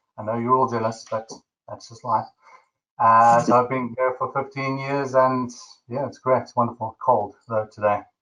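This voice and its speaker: A man with a South African accent speaks at a medium pitch in a bright, sharp tone. His intonation is monotone and flat, but his loudness swings widely. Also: moderate pace. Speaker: webinar host. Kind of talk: webinar presentation.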